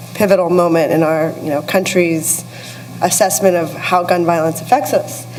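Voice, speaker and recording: Over noticeable background noise and audible room echo, a woman with an American accent speaks at a moderate pace in a fairly low pitch with fairly even intonation. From US-Mexico border region. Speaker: communications executive, panelist. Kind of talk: panel discussion. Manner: hesitant, many fillers.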